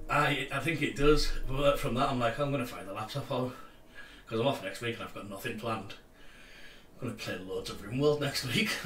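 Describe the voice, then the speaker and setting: Talking at a fairly quick pace with a Cumbrian accent, a man keeps a medium pitch with ordinary variation, his loudness swinging widely, amid audible room echo and noticeable background noise. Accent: Cumbrian, often mistaken for Scottish. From Cumbria, northern England. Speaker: streaming co-host. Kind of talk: casual chat.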